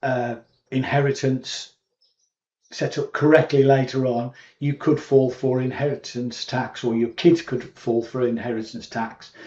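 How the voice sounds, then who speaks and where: Speaking fairly slowly in a British accent, a man has a medium pitch and a dark, mellow tone. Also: fairly even intonation. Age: 60s. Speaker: YouTube commentator. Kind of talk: casual monologue to camera. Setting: at home in cottage. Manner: hesitant, many fillers.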